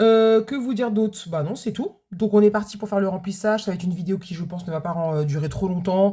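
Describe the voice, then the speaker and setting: Somewhat breathy and dark, mellow in tone, a woman talks at a fairly quick pace with ordinary pitch variation on a very clean recording with a silent background. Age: 40s. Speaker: budgeting vlogger, food truck owner. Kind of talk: casual vlog chat. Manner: hesitant, many fillers.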